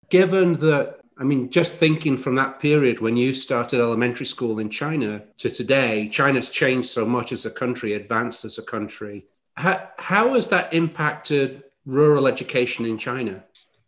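Here is a man with an East Midlands accent. His voice sits at a medium pitch. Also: ordinary pitch variation, moderate pace, hardly any pauses. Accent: northern English (East Midlands). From northern England. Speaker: podcast host. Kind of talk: casual interview conversation.

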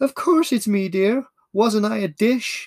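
Using a put-on character voice, the speaker talks at a fairly high pitch and a fairly slow pace. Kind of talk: quaint, vintage.

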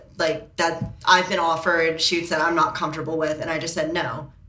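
A woman speaks at a fairly low pitch with music in the background. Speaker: model and blogger. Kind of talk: casual chat.

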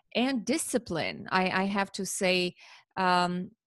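A woman with an Armenian accent and ordinary pitch variation, in a dry, close sound with no echo and a quiet background. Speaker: parent educator. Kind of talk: interview.

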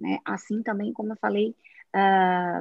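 Ordinary variation runs through the pitch. The voice belongs to a woman. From Brazilian Northeast. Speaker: tech company CEO. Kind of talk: live talk show interview.

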